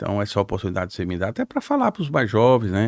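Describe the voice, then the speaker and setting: An ordinary speaking voice moves at a fairly quick pace, the sound dry and close with no echo. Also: man. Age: 60s. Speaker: politician, former mayor. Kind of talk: podcast interview.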